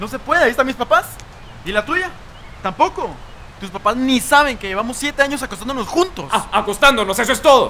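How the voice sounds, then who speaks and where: Light background noise sits under speech at a very fast pace. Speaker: actor in a comedy sketch. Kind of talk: scripted dialogue. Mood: exasperated, arguing. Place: street.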